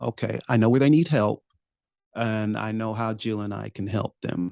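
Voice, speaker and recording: The sound is dry and close with no echo. A man with a normal speaking voice talks at a fairly low pitch with ordinary pitch variation. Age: 60s. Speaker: podcaster and educator. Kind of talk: interview.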